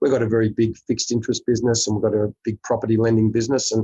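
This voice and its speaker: Very fast and somewhat breathy, a man speaks at medium pitch in a flat monotone. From Australia. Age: 60s. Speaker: investor and business executive. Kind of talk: interview conversation. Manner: halting, many fillers.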